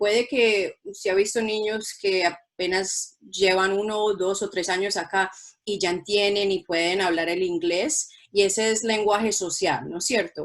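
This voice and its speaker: A woman speaks at a medium pitch and moderate pace. Her intonation is fairly even. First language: Spanish. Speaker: school principal. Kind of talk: bilingual presentation for parents. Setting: online virtual presentation.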